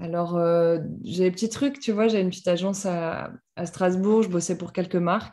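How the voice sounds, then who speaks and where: A woman speaks at a moderate pace with a medium pitch and fairly even intonation. Her tone is dark and mellow against a quiet background. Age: 30s. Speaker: author. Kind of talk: personal testimony. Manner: halting, many repetitions and fillers.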